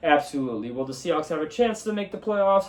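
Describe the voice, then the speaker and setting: This man's voice sits high in pitch. It moves through very wide pitch swings. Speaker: sports podcast host. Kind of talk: solo sports talk show. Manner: casual, profane, animated.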